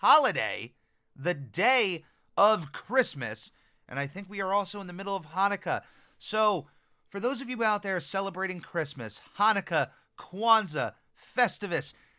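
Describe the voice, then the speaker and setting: Projecting a raised voice, a man speaks at a high pitch and a moderate pace, his tone bright and sharp and his intonation lively, on a very clean recording with a silent background. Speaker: podcast host. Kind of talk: casual podcast talk. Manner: upbeat, friendly.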